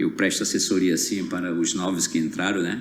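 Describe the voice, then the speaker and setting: There is noticeable background noise and audible room echo. A man's voice comes through both. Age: 60s. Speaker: tour guide and entrepreneur. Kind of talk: podcast interview.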